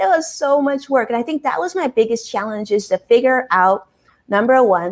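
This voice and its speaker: A woman speaks with a fairly high pitch and lively intonation. Her pace is moderate. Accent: American. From US West Coast, Los Angeles. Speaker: financial advisor and live streamer. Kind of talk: interview.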